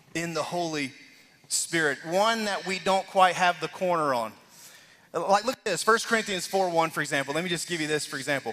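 Music runs in the background as a man speaks at a fairly quick pace. His pitch is high, with ordinary variation. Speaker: lead pastor. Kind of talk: sermon. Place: church.

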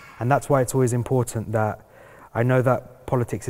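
The speaker has a London accent. The intonation is monotone and flat. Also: man. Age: young. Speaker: fire survivor; panelist. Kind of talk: panel discussion. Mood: earnest, serious. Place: hall.

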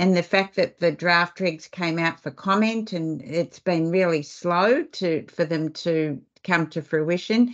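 A woman with an Australian accent, fairly low-pitched and fairly slow, against a quiet background. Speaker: webinar host and foundation CEO; webinar host, moderator. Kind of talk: webinar presentation. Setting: video call webinar. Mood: warm, appreciative. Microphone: video call.

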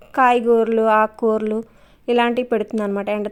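A woman's fairly high voice carries a flat, monotone intonation on a very clean recording with a silent background. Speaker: gardening channel host. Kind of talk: casual vlog narration.

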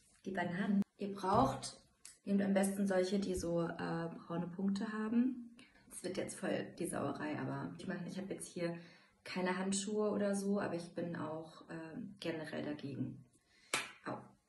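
A woman's voice at a fairly slow pace with ordinary pitch variation, light background noise and audible room echo. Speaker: home cooking vlogger. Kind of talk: casual vlog chat, cooking tutorial. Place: home room. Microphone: phone near.

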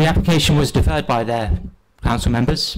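At a very fast pace, a man speaks with vocal fry and ordinary pitch variation. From England. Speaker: planning officer. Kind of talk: council meeting presentation. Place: meeting room. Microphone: podium.

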